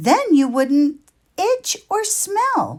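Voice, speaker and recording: A put-on character voice sounds female and squeaky. Its pitch swings very widely. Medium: read story. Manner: firm, friendly.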